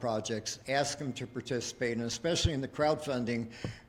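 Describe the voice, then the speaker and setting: This man has an ordinary speaking voice and keeps his intonation fairly even. He talks at a fairly quick pace. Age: 60s. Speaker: business consultant. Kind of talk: pitch presentation.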